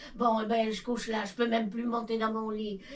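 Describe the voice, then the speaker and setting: Audible room echo around a woman speaking at a fairly high pitch. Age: 90s. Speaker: elderly villager. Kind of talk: casual chat. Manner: halting.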